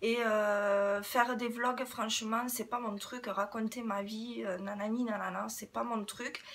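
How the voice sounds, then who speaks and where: Over noticeable background noise, a woman with a fairly high pitch speaks at a very slow pace, monotone and flat in intonation, with hardly any pauses. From southwest France, Toulouse area. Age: 30s. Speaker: beauty YouTuber. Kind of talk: casual Q&A vlog. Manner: hesitant, many fillers.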